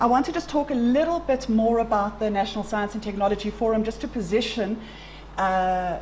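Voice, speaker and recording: A fairly quick delivery amid audible room echo and noticeable background noise. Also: woman. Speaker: science organization representative. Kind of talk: conference presentation. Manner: fast.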